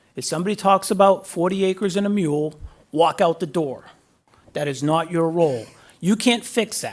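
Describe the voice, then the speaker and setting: A high-pitched man with an American accent and ordinary pitch variation. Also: moderate pace. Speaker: guest speaker, defense official. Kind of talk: graduation speech. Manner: halting.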